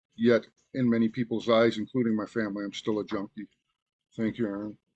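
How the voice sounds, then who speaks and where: A man with an American accent talks fairly quickly at a medium pitch in monotone, flat intonation, with a dry, close sound and no echo. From Oneida Nation, Wisconsin. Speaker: person in recovery from addiction. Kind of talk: interview testimony.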